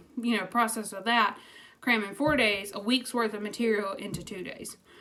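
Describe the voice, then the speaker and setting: A woman speaks with a fairly high pitch and fairly even intonation. There is noticeable background noise. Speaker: teacher and vlogger. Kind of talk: casual vlog chat.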